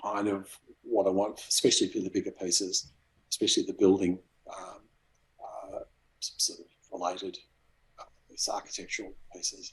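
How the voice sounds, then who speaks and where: A soft-spoken man with an Australian accent at a moderate pace, with long, frequent pauses. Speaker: graphic designer and cardboard model maker. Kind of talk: interview answer.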